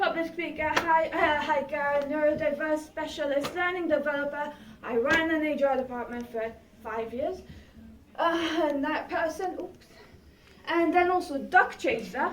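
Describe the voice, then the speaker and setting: The speech moves at a moderate pace, and audible room echo accompanies it. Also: woman. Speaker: public speaker. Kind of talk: presentation. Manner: animated.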